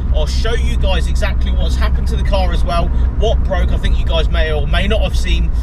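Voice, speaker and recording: Loud background noise sits behind a man talking at a fairly quick pace. The sound is dry with no echo. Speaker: car vlogger. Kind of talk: casual vlog chat. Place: car. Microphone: camera far.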